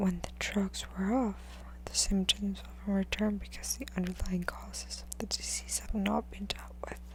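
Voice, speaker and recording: A soft-spoken voice at a moderate pace. Noticeable background noise runs underneath. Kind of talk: book reading.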